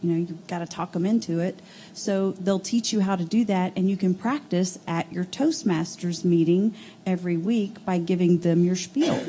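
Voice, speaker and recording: A woman speaks at a moderate pace with ordinary pitch variation. Light background noise sits behind her. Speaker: HR coordinator. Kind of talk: panel discussion. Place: meeting room.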